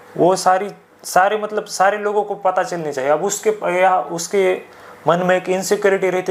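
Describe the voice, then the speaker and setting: A high-pitched man with a Marathi accent and fairly even intonation, amid noticeable background noise. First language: Marathi (speaking Hindi). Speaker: podcast guest. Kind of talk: casual discussion. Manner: hesitant, many fillers.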